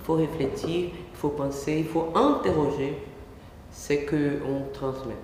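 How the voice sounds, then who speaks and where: A woman with a non-native accent talks at a very slow pace in a very deep, low voice, with audible room echo and noticeable background noise. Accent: foreign accent in French. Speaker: academic researcher in psychology. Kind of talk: lecture. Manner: halting.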